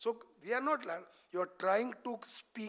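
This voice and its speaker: Someone speaks at a fairly slow pace in a Marathi accent. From Maharashtra, India. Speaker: senior cardiac surgeon, expert speaker. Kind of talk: lecture. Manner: animated.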